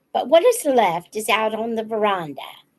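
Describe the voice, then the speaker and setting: Putting on a gruff character voice, a woman speaks at a fairly slow pace. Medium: read story. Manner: gruff, grumbling.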